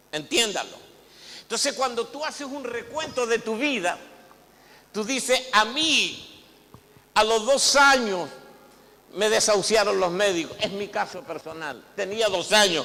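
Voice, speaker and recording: Raising and projecting his high-pitched voice, a man speaks fairly slowly with lively intonation and long, frequent pauses, amid noticeable background noise and audible room echo. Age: 60s. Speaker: apostle, pastor. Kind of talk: sermon. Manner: hesitant repetitions.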